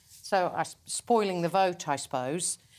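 A woman with an unremarkable speaking voice and lively intonation, fairly slow, on a very clean recording with a silent background. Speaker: filmmaker. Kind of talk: casual panel discussion.

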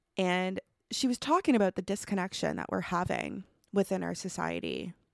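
A woman in a Canadian Maritime accent, dry and close with no echo. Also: very clean recording, silent background. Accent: Canadian Maritimes. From Nova Scotia, Canada (Truro). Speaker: podcast host. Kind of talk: solo podcast monologue. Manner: casual, many fillers and laughs.

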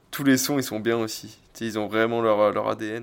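Here a man with an ordinary speaking voice and medium pitch talks at a fairly slow pace on a very clean recording with a silent background. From France, Oléron island (Charente-Maritime). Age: 20s. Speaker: surf instructor and MMA gym founder. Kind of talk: casual chat. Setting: small home-built dojo.

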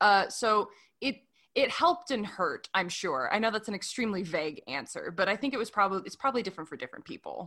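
On a very clean recording with a silent background, a woman with an American accent speaks at medium pitch and a very fast pace, bright and sharp in tone, with very wide pitch swings. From US Midwest. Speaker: podcast host, actor and comedian. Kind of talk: casual chat.

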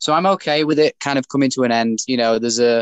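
A man's medium pitch with a British accent, a fairly quick pace and ordinary pitch variation. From UK. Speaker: bare knuckle boxer and former pro wrestler. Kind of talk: interview.

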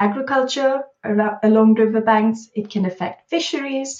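A woman's voice is somewhat breathy. She talks at a fairly slow pace. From India, Bangalore. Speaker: author and social entrepreneur. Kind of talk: interview. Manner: halting, many fillers.

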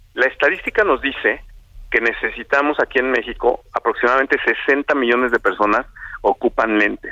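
Dry and close with no echo, the voice moves at a fairly quick pace at a very even loudness. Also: man. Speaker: optometry society president. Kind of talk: phone interview. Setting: phone call.

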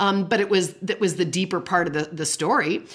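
A normal speaking voice with ordinary pitch variation comes through against a quiet background. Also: woman. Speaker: parenting podcast host and family counselor. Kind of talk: casual interview conversation.

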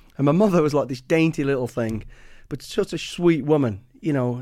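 Speaking with an English Midlands accent, a man has a fairly high pitch and a dark, mellow tone. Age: 50s. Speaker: former special forces soldier and author. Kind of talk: casual interview.

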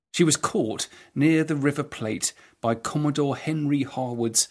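Lively intonation marks this man's plain, everyday voice, which sits at a fairly high pitch and moves at a fairly slow pace. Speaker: podcast host and historian. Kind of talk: scripted narration.

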